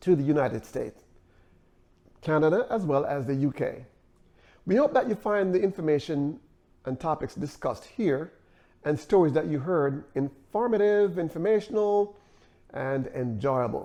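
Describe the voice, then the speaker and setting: A man with a Jamaican accent speaks at a moderate pace in a fairly high pitch, his tone dark and mellow. His intonation is lively, and he leaves long, frequent pauses. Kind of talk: channel intro to camera.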